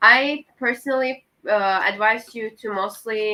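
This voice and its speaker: A woman with a non-native accent speaks at a very slow pace. Her tone is bright and sharp, with ordinary pitch variation. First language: not English. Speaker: student panelist. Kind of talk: panel discussion. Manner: halting.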